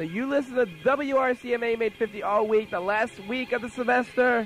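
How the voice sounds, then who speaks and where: Over music in the background, a man with a high pitch speaks at a fairly quick pace. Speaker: college radio DJ. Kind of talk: radio show. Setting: radio studio. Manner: loud; animated.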